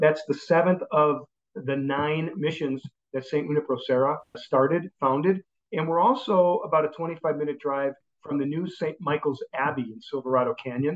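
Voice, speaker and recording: A man with a Chicago accent, fairly high pitch, ordinary pitch variation and a moderate pace. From Chicago area, US. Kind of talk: interview.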